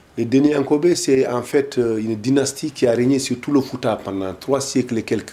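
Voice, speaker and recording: A man keeps a moderate pace with hardly any pauses, noticeable background noise behind him. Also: medium pitch for a man, ordinary pitch variation. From Mauritania, Gorgol region, Senegal river valley. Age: 50s. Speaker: political activist, deportation witness. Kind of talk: interview testimony. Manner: hesitant, many fillers.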